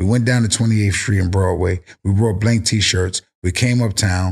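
In a New York accent, a man with a fairly low, somewhat breathy voice speaks at a moderate pace on a very clean recording with a silent background. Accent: New York City. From South Bronx, New York City. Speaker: cannabis brand founder. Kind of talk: casual chat. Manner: animated.

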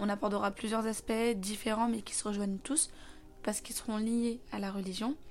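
A woman speaks fairly quickly in a normal speaking voice. Her pitch is fairly high and her intonation fairly even. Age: 20s. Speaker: podcast host. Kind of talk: casual monologue.

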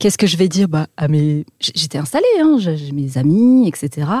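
A woman's very deep, low voice comes through somewhat breathy, with a dark, mellow tone and a dry, close sound with no echo. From French Alps. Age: 30s. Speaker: business intelligence firm founder, former army officer. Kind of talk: interview.

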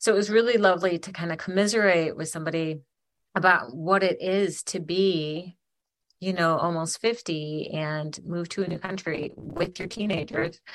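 With an American accent, a woman speaks in a normal speaking voice at a moderate pace. Her pitch is fairly low, with ordinary pitch variation. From Michigan, Ypsilanti/Ann Arbor area. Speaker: podcast co-host. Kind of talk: casual chat. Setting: remote call across continents. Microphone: occasional crackly audio.

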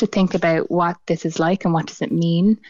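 An ordinary speaking voice from a woman, fairly low in pitch, with fairly even intonation at a moderate pace. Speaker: clinical psychologist. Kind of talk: radio interview.

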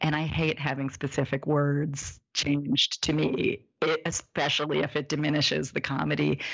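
A woman's very deep, low voice with vocal fry, fairly even intonation, very even loudness, a moderate pace and hardly any pauses. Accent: Midwestern American. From US Midwest, Indianapolis, Indiana. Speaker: zine publisher, author and illustrator. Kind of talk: casual interview conversation.

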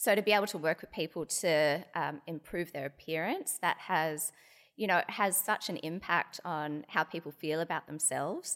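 A woman with an Australian accent, fairly low in pitch, at a moderate pace with ordinary pitch variation, on a very clean recording with a silent background. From Australia, Sydney and Hobart. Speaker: dermatologist. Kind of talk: interview. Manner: hesitant, many fillers.

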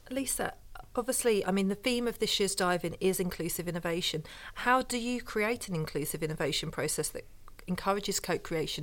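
A woman with a normal speaking voice talks at a fairly quick pace and medium pitch. Her intonation is lively, and the recording is very clean with a silent background. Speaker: podcast host and editor. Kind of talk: interview, moderated discussion.

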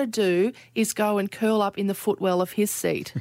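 A woman is speaking. She has an Australian accent. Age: 40s. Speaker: podcast host. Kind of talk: casual chat.

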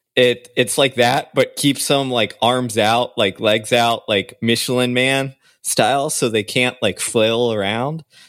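On a very clean recording with a silent background, a man speaks at a medium pitch and a fairly slow pace. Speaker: podcast co-host. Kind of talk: casual chat. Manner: enthusiastic, energetic.

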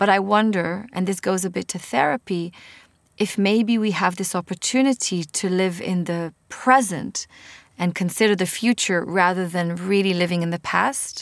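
A woman with an Israeli accent talks at a moderate pace in a medium pitch with ordinary pitch variation, on a very clean recording with a silent background. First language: Hebrew. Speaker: podcast host and author. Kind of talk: casual interview.

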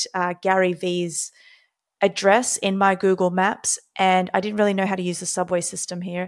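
A woman with an Australian accent in a flat monotone. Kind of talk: interview conversation. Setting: video call.

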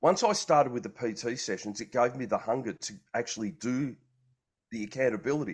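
With an Australian accent, a man talks fairly quickly against a quiet background. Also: medium pitch for a man, ordinary pitch variation. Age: 50s. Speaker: health and wellbeing coach. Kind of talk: casual chat. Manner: halting.

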